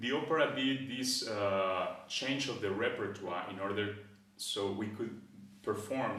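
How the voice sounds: Strong room echo surrounds a man speaking at a fairly slow pace. His pitch is fairly low and his tone fairly bright.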